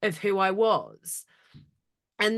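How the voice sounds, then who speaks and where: A woman speaks against a quiet background. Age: 30s. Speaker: business consultant and speaker on ADHD. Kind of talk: interview conversation. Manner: direct, sounds aggressive to others.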